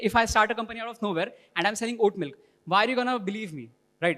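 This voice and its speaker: A man speaks with an Indian accent. His voice is high-pitched. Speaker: workshop participant presenting. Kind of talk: group presentation. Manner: fast.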